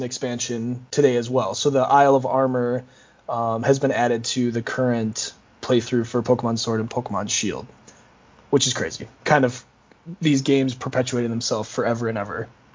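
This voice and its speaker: An unremarkable speaking voice from a man with an American accent, medium pitch, fairly even intonation, and a fairly quick pace. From Minnesota. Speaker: esports marketing coordinator. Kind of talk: casual chat.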